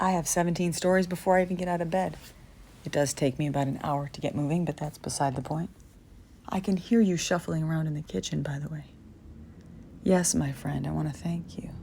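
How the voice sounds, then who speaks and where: A woman mumbles in a somewhat breathy, very deep, low voice with a dark, mellow tone and ordinary pitch variation. She talks at a fairly quick pace but leaves long, frequent pauses. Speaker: vlogger with neurological disorder. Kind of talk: reflective monologue. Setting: at home, recorded message. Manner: low, mumbling.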